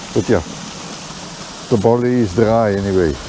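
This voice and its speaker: Through noticeable background noise, a man with a fairly low pitch speaks at a moderate pace with fairly even intonation. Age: 60s. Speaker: farmer. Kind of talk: casual vlog narration.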